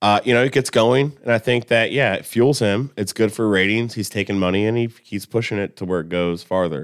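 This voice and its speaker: A man talks at a fairly quick pace in an unremarkable speaking voice, fairly low in pitch with ordinary pitch variation. The recording is very clean, with a silent background. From Columbus, Indiana, US Midwest. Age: 30s. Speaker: cook. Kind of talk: casual chat. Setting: studio.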